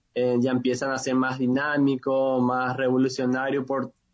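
This is a plain, everyday voice moving at a fairly slow pace. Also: man. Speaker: youth leader. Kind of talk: interview.

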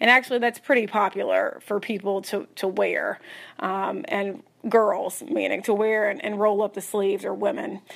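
A woman with a Southern US accent at a medium pitch and moderate pace, with ordinary pitch variation. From Tennessee. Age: 30s. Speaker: podcast listener leaving a voicemail. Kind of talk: voicemail message.

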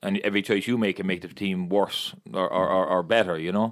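This voice moves at a fairly quick pace in a strong Limerick accent. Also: man. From Ireland, Limerick. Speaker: former footballer and youth coach. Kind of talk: casual chat. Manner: fast.

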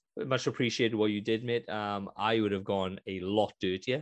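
Over a quiet background, a man with a Welsh accent speaks at a fairly low pitch with ordinary pitch variation. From Wales. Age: 30s. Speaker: gaming podcast co-host. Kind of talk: casual chat. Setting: video call.

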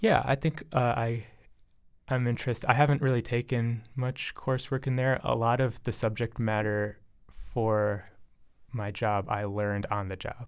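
Recorded very cleanly against a silent background, a man with a Midwestern US accent talks at a medium pitch with fairly even intonation. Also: moderate pace. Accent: US Midwest. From Michigan, Ann Arbor. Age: 20s. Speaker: graduate student. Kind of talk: casual chat. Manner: halting.

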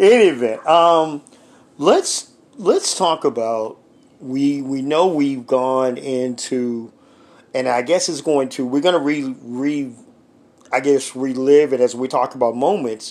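A man with a normal speaking voice and a fairly high pitch talks at a fairly slow pace with ordinary pitch variation. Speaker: sports radio host. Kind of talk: radio dj patter, brisk broadcast-style sports host spiel with ad reads and call-in plugs. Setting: studio at home.

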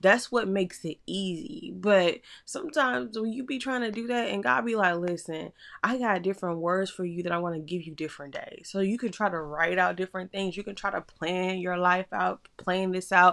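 A woman speaks at a medium pitch and a moderate pace, her intonation lively and her delivery with hardly any pauses. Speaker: podcast host. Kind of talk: faith-based solo podcast talk. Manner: casual, conversational.

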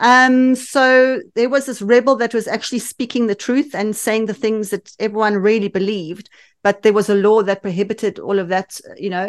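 Against a quiet background, a woman with a South African accent speaks at a fairly high pitch. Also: ordinary pitch variation, moderate pace. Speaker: women's empowerment coach and movement founder. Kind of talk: casual interview. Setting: remote call. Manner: animated.

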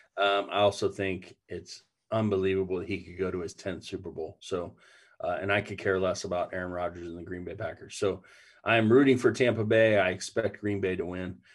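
Against a quiet background, a man with an unremarkable speaking voice talks at a fairly quick pace, fairly low in pitch, with fairly even intonation and big swings in loudness. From Ohio. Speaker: pastor. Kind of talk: casual chat.

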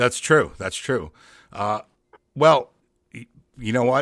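In a very clean recording with a silent background, a man with an American accent speaks at a moderate pace with ordinary pitch variation. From New York, Long Island. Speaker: podcast host. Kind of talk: casual chat.

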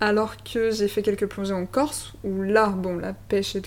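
A woman speaks at a medium pitch. Hers is a plain, everyday voice. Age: 30s. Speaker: podcast host. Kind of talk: interview.

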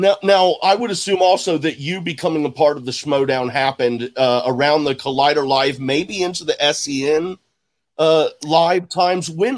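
At a moderate pace, a man with an American accent speaks in a fairly high voice with ordinary pitch variation on a very clean recording with a silent background. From Houston, Texas. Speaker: podcast host. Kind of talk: interview.

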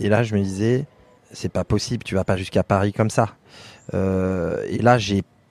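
A man with a fairly low pitch at a moderate pace. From France, Limousin. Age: 30s. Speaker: mountaineer. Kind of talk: interview. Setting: outdoors. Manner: halting.

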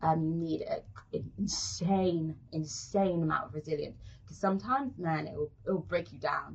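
A woman with a London accent, speaking at a moderate pace. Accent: London British English. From South London, England. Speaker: actress. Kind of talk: casual interview.

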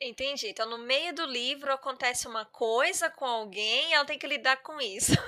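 Projecting her voice, a woman talks at a high pitch and moderate pace, with hardly any pauses. Her pitch varies in an ordinary way, and there is noticeable background noise. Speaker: podcast host, English teacher. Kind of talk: casual interview chat.

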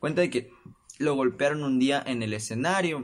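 A man's voice with lively intonation, at a moderate pace. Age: 20s. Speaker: podcast host. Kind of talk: casual solo monologue. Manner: animated.

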